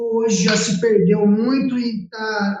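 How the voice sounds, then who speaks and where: Audible room echo surrounds a man's voice. He has a high pitch and ordinary pitch variation. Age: 30s. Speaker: podcast co-host. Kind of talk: podcast interview.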